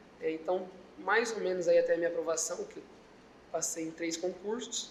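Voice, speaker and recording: With audible room echo around him, a man speaks in a high pitch with fairly even intonation. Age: 20s. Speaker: public security agent. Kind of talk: interview.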